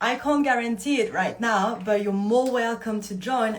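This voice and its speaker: The voice is somewhat breathy, with a French accent and ordinary pitch variation. Room echo is audible. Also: woman. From France. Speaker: movement coach running a retreat. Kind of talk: live Q&A. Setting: livestream. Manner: casual, animated.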